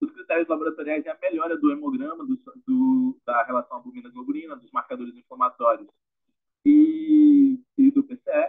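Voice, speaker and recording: Big swings in loudness mark a man's speech, which runs at a moderate pace. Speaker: medical resident presenting a case. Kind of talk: case presentation.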